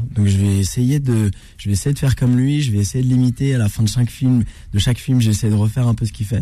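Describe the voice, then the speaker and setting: The voice is somewhat breathy and very fast, with very even loudness and fairly even intonation. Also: man, medium pitch for a man. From Normandy, France (Rouen). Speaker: actor and comedian. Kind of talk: radio interview. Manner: calm, measured.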